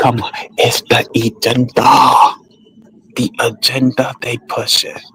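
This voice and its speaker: A man speaks very slowly as noticeable background noise carries on around him. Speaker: streamer / commentator. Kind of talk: livestream monologue.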